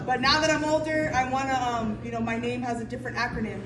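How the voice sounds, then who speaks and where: A woman talks at a very fast pace. Noticeable background noise and audible room echo surround her voice. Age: 40s. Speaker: business owner sharing her story. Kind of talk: testimony. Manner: casual, with many fillers.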